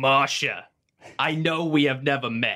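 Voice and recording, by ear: A put-on character voice pitched low to middle. It moves at a fairly slow pace.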